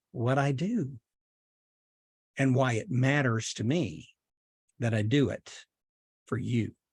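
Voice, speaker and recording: A man with a Southern US accent speaks at a very slow pace and a fairly high pitch. The sound is dry and close, with no echo. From US South, Chattanooga, Tennessee / North Georgia. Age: 70s. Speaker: podcaster. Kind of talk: personal storytelling monologue.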